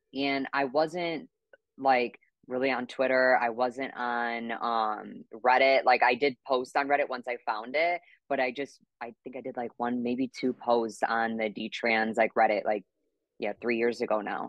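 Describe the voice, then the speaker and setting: Fairly slow, fairly even speech from a woman with a very deep, low pitch, dry with no echo, over a quiet background. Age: 20s. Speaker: detransitioner sharing her story online; interview guest. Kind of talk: casual interview chat. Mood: reflective, earnest. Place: home room. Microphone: video call.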